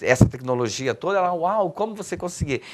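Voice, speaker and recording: The voice moves at a fairly quick pace with very wide pitch swings. Noticeable background noise sits behind it. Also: man. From Minas Gerais, Brazil. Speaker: poet and cultural activist. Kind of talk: interview answer.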